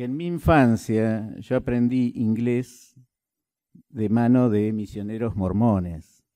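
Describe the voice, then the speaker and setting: A man's medium-pitched voice with a dark, mellow tone and ordinary pitch variation at a very slow pace. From Argentina, Concordia, Entre Ríos. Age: 60s. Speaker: party official. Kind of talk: speech to a meeting.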